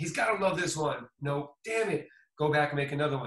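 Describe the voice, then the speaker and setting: Here a man talks at a fairly quick pace with an American accent, in an ordinary speaking voice. His pitch is fairly high and varies in an ordinary way. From Boston, US. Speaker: music producer and DJ. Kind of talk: casual interview chat.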